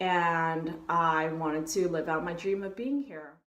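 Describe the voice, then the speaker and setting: Speaking at a moderate pace in an American accent, a woman shows ordinary pitch variation amid audible room echo. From US West Coast, San Francisco. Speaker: travel vlogger. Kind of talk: vlog talking to camera. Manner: casual, upbeat.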